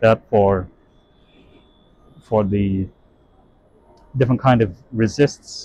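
The tone is dark and mellow, the pitch variation ordinary, and the sound dry with no echo. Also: man. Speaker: lab tour guide. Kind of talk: tour commentary. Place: factory. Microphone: phone near.

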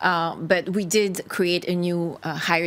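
Speaking with a French accent, this woman has a fairly low pitch. Her pitch variation is ordinary. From France. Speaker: party spokesperson. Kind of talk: televised panel debate. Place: studio.

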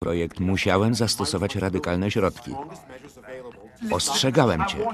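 Lively intonation carries this man's fairly low voice at a moderate pace. Noticeable background noise sits behind him. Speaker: film voice-over lector. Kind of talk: film voice-over reading of dialogue.

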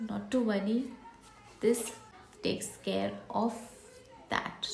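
A woman speaks with fairly even intonation. Light background noise and audible room echo are present. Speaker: beauty vlogger. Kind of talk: casual product review chat. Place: home room. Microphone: phone near.

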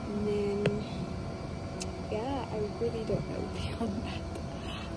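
Music plays in the background. The speaker talks at a fairly slow pace. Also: woman. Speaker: travel vlogger. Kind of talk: casual vlog chat. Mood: relaxed, laid-back. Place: street. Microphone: phone near.

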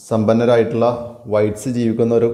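A man's medium-pitched voice, dark and mellow in tone, with audible room echo. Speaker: English teacher. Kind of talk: lecture.

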